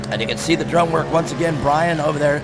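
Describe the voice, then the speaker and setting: A man with a fairly high voice talks at a very fast pace over noticeable background noise. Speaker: race announcer. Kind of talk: live commentary. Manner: fast when excited; loud.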